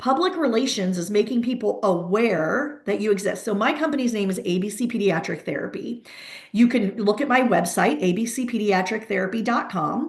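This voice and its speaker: A woman talks at a fairly quick pace in a fairly high pitch, with lively intonation and an animated tone over noticeable background noise. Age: 50s. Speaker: pediatric therapy practice owner, webinar host. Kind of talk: webinar presentation. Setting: video call webinar. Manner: fast.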